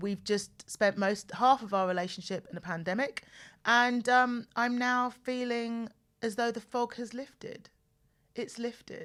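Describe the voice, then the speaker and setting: The speaker, in a southern English accent, talks at a fairly slow pace with fairly even intonation. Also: woman, fairly high pitch for a woman. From southern England, home counties outside London. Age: 40s. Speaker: podcast host. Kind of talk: casual personal monologue. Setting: studio. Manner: chatty, repeats herself.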